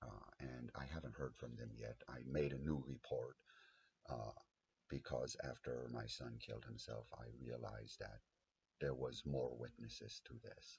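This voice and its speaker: Speaking at a moderate pace, a man with a very deep, low pitch and vocal fry keeps his intonation fairly even. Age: 50s. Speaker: abuse survivor advocate. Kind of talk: personal testimony monologue. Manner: halting, many fillers.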